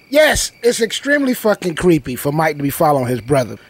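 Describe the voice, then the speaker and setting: Crowd noise runs behind a man talking at a fairly quick pace. The sound is dry, with no echo. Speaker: reaction streamer. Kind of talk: casual reaction commentary. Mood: amused, incredulous. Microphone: studio mic.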